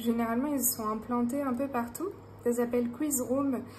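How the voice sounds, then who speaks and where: A woman with a fairly high pitch and fairly even intonation talks amid audible room echo and noticeable background noise. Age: 30s. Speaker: budgeting YouTuber, self-employed health worker. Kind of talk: casual vlog. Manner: hesitant, many fillers.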